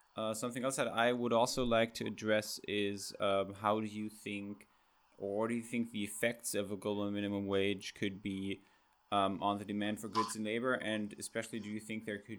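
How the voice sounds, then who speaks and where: This man's fairly low voice moves at a moderate pace in a monotone, flat intonation. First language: German. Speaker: podcast host. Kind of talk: interview.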